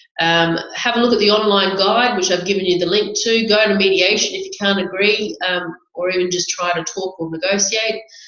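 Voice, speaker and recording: In an Australian accent, a woman talks at a fairly quick pace with a medium pitch and fairly even intonation, over noticeable background noise. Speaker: family lawyer, webinar host. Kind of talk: webinar presentation. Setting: online webinar.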